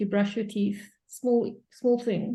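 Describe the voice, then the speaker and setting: At a fairly slow pace, a woman speaks in a fairly high, somewhat breathy voice with a dark, mellow tone and ordinary pitch variation. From South Africa, Cape Town. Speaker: coach in training session. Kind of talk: group discussion on video call.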